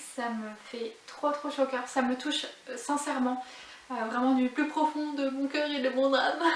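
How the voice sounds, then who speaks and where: A woman talks fairly slowly in a high, monotone voice with flat intonation. Noticeable background noise runs under her speech. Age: 30s. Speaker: knitting vlogger. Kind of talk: casual vlog monologue. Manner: hesitant, many filler sounds.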